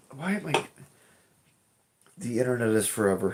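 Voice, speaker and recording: A man talks at a fairly slow pace with lively intonation. His pitch is fairly low, and there is vocal fry in his voice. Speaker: streamer. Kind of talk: casual livestream chat. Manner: casual, rambling.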